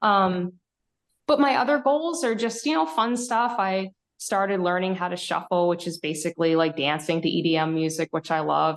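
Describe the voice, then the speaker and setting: The speaker is a woman with a fairly low pitch. She talks at a moderate pace. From Connecticut, US. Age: 30s. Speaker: amateur bodybuilder. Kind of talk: podcast interview.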